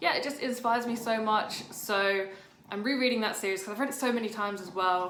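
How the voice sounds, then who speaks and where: A woman with a British accent, fairly high in pitch, talking at a very fast pace amid audible room echo. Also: ordinary pitch variation. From Britain. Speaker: writer and video blogger. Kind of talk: casual vlog monologue.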